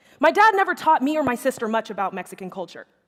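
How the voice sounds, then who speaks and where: Speaking at a fairly quick pace, a woman has a high pitch. Her voice makes very wide pitch swings. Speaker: actor. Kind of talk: live monologue reading of a student's personal story. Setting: live stage show.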